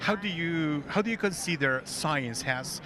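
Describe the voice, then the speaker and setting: With a Spanish accent, a man talks at a moderate pace amid noticeable background noise. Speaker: interviewer. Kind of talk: interview. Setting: book fair.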